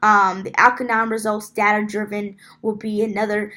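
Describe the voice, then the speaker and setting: A woman's fairly high, bright, sharp voice at a moderate pace, on a very clean recording with a silent background. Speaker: student presenting a class assignment. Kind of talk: class presentation. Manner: halting, many filler ums.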